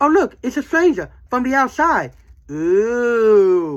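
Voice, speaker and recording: The speaker uses a put-on character voice at a fairly high pitch. The pace is fairly slow, with very wide pitch swings. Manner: playful, imitating a voice actor.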